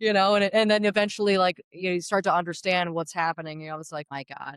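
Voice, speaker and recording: A woman speaks very fast with an American accent, her pitch fairly low. The recording is very clean with a silent background and a dry, close sound with no echo. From New Jersey, Sussex County. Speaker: baker and pizzeria owner. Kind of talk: interview storytelling. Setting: inside a diner. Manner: animated, conversational with many fillers.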